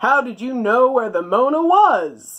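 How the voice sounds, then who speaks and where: A put-on character voice, gruff and fairly high in pitch, moves at a fairly slow pace. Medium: read story. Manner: barking, gruff.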